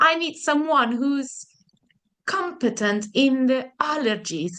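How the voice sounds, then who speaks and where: A woman's high, raised, projected voice, very slow, with lively intonation and a bright, sharp tone. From Italy. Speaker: interviewee sharing health story. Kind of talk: interview.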